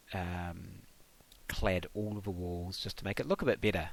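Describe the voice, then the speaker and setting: This man speaks with a New Zealand accent. His pace is fairly slow. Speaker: gaming YouTuber. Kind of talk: casual gameplay commentary. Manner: hesitant, many ums and uhs.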